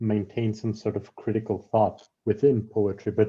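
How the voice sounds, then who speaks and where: With a dark, mellow tone, a man speaks at medium pitch in a somewhat breathy voice. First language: Spanish. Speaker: poet and translator. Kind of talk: round table talk.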